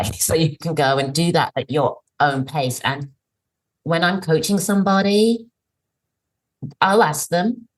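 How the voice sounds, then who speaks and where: A woman talks with an English accent and lively intonation. Her voice is somewhat breathy. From England. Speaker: career coach. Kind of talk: podcast interview answer.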